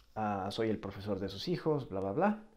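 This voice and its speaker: A man with a Mexican accent speaks at a fairly slow pace in a dark, mellow tone. His pitch swings very widely against a quiet background. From Mexico. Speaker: language teacher and video creator. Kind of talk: casual vlog monologue. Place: home room. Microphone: earbuds.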